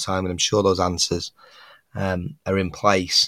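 With a northern English accent, a man with fairly low pitch speaks at a moderate pace in a very clean recording with a silent background and a dry, close sound with no echo. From northwest England. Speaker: podcast host. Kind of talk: solo podcast commentary on fishing news.

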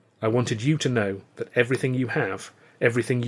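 This is a reading voice. It is unforced.

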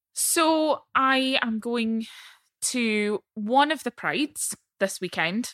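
A woman with a Central Belt Scottish accent speaks very slowly in a high voice with lively intonation, on a very clean, dry, close recording with no echo and a silent background. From Falkirk, central Scotland. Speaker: politician (MSP). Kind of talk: casual interview chat.

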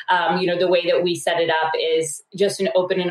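An ordinary speaking voice from a woman, medium in pitch. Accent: American. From rural US. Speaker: startup co-founder. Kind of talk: interview.

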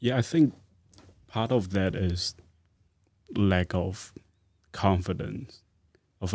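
Recorded very cleanly against a silent background, a man with a Chinese accent talks in a very deep, low voice with ordinary pitch variation. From China. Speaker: postgraduate student. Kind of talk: casual chat. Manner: halting.

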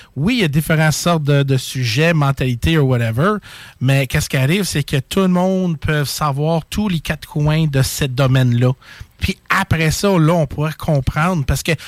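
An unremarkable speaking voice from a man, fairly high in pitch, with ordinary pitch variation, very even loudness and a moderate pace. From Quebec, Châteauguay. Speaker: paranormal live streamer. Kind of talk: casual chat.

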